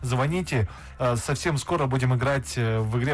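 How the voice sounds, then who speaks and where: A man's somewhat breathy, medium-pitched voice moves at a fairly slow pace with ordinary pitch variation. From Kazakhstan. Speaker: radio host. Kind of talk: casual chat.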